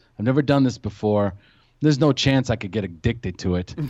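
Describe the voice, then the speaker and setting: Over a quiet background, a man at medium pitch speaks in a dark, mellow tone with ordinary pitch variation. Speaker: podcast host, guest sharing recovery story. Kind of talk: personal testimony in casual chat.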